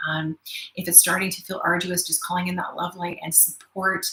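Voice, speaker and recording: The woman's intonation stays monotone and flat while noticeable background noise runs behind her. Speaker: spiritual teacher. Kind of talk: live webinar talk. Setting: live stream from studio. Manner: fast; hesitant with many fillers.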